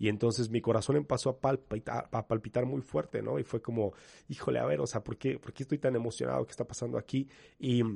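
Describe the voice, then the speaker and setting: A man with a dark, mellow tone, medium pitch and vocal fry speaks at a very fast pace with ordinary pitch variation, his voice dry and close with no echo over a quiet background. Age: 30s. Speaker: youth pastor. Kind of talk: interview.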